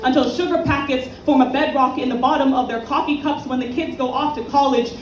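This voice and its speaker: Over noticeable background noise, a woman speaks at a moderate pace with a high pitch. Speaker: slam poet. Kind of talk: poetry slam performance. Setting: live event venue.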